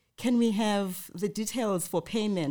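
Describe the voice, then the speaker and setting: Recorded very cleanly against a silent background, a woman speaks at a medium pitch with a dark, mellow tone and ordinary pitch variation. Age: middle-aged. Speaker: podcast host. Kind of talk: casual chat.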